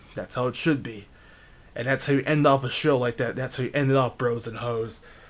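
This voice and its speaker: This man, with an American accent and a medium pitch, speaks at a fairly quick pace. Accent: New Jersey accent, coming out more today. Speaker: video game match commentator. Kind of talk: live commentary. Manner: animated.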